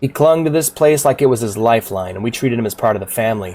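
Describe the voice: Reading aloud, plain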